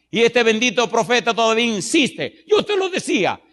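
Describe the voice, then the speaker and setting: A man talks at an extremely high pitch with very wide pitch swings. His tone is animated. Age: 50s. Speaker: pastor. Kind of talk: sermon. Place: church. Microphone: handheld.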